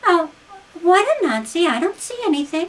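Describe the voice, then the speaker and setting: Putting on a squeaky character voice, a woman talks at a moderate pace at extremely high pitch, with very wide pitch swings. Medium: read story. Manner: soft, quiet.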